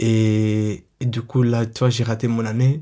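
With an Arabic accent, a man speaks in a dark, mellow tone and a monotone, flat intonation. The recording is very clean, with a silent background. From Syria, Latakia. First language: Arabic (speaking French). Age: 20s. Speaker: young refugee sharing life story. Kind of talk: personal testimony. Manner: halting, with many fillers.

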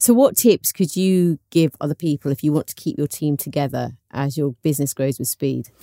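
With a very deep, low pitch and a dark, mellow tone, a woman talks at a moderate pace with ordinary pitch variation and hardly any pauses, the sound dry and close with no echo. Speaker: podcast host. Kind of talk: interview.

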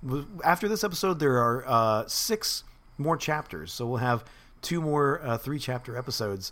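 This is an unforced reading voice. The words come out as an unforced reading voice would.

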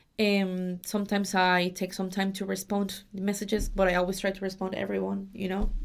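With a Spanish accent, a woman with a medium pitch speaks at a fairly quick pace in a monotone, flat intonation, hardly pausing at all. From Mexico. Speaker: au pair and student agency worker. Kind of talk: casual interview. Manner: halting, many fillers.

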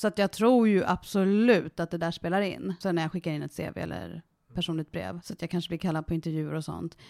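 This woman has an ordinary speaking voice, fairly low in pitch, with ordinary pitch variation at a fairly quick pace. The recording is dry and close, free of echo. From Sweden, Värmdö. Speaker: interviewee, adoptee. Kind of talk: casual interview.

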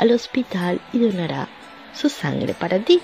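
A woman's fairly slow speech with lively intonation, over noticeable background noise. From Venezuela. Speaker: podcast host, life coach. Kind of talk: motivational monologue.

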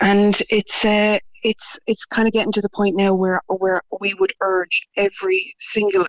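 Speaking fairly slowly with an Irish accent, a woman keeps a medium pitch, very even loudness and a monotone, flat intonation. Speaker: parent campaigner. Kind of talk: interview. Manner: confident.

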